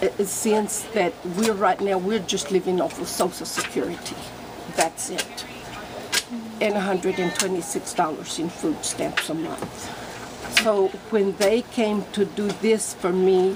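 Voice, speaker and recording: A woman speaks fairly slowly at a medium pitch with ordinary pitch variation. Noticeable noise sits in the background. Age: 70s. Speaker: homeowner receiving repairs. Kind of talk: interview testimony. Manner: halting.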